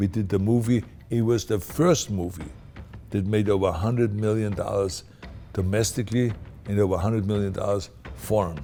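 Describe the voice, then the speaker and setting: A man with a non-native accent talks at a fairly quick pace in a fairly low voice. Music plays behind him. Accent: foreign. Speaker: actor. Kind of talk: interview answer.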